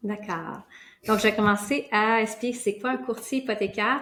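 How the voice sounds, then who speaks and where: This woman talks with a Quebec accent at a moderate pace. Her pitch sits fairly high. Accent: Québécois. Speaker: mortgage broker. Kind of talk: interview.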